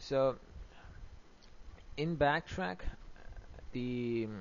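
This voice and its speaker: A man with a non-native accent talks at a fairly high pitch. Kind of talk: software tutorial narration. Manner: hesitant, many fillers.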